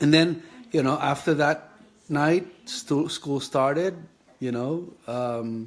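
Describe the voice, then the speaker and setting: A man speaks at a very slow pace. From Philippines (Leyte, Visayas; raised in Manila). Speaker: kidney patient sharing his health journey. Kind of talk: personal vlog monologue. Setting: live Facebook video. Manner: halting, many fillers.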